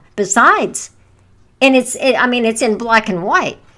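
Her tone bright and sharp, a woman speaks at a fairly high pitch. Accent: American. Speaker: religious teacher. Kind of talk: testimony. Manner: halting.

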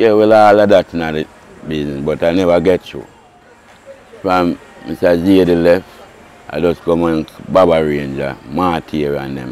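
With a very deep, low pitch and ordinary pitch variation, a man talks at a moderate pace with long, frequent pauses and big swings in loudness, in a dry sound with no echo. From Jamaica. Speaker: racehorse groom. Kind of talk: interview. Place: open country. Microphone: lapel.

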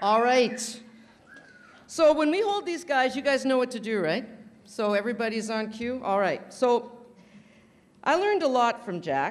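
Loud and high-pitched, a woman speaks at a moderate pace with very wide pitch swings and long, frequent pauses. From Canada. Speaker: roaster. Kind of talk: stand-up. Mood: playful, teasing. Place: hall. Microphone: podium.

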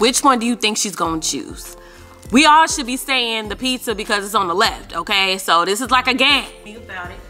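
A woman talks at a fairly quick pace with big swings in loudness while faint music plays in the background. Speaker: parent vlogger. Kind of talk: casual vlog chat. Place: home room.

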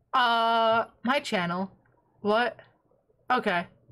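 A woman's raised, projected voice with an American accent. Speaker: livestreamer. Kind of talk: casual livestream chat. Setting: home desk setup with microphone. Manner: animated.

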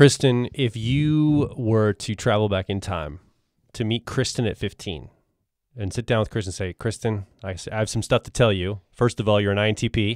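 A man's fairly low-pitched voice, a normal speaking voice, at a moderate pace with ordinary pitch variation, a dry, close sound with no echo, and a very clean recording with a silent background. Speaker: podcast host. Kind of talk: casual interview.

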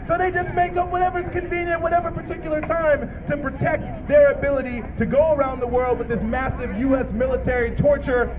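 Against noticeable background noise, the voice comes out in an angry tone at a fairly quick pace. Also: man. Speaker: rally speaker. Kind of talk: rally speech. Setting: outdoors at a protest rally. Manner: impassioned, angry, declamatory; rhetorical, repetitive, emphatic. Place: street.

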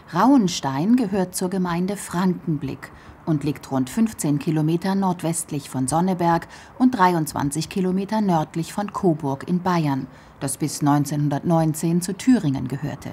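Here is a normal speaking voice. Its intonation is lively. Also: woman, fairly low pitch for a woman, fairly slow pace. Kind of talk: documentary narration.

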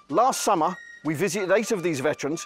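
Clear music plays behind a man with a high voice, and the sound is dry with no echo. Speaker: London cab driver, charity volunteer. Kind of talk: documentary introduction. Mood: calm, solemn. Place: street.

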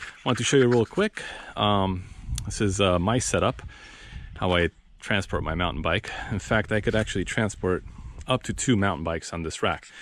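At a moderate pace with long, frequent pauses, a man speaks in a fairly low pitch with ordinary pitch variation, the sound dry with no echo and light background noise. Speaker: vlogger reviewing gear. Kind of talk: casual vlog chat. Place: street. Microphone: phone near.

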